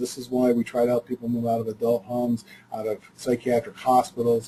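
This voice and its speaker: This man's voice is somewhat breathy with a dark, mellow tone. His pitch sits in the medium range. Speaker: mental health agency presenter. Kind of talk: webinar presentation. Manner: fast; halting, many fillers.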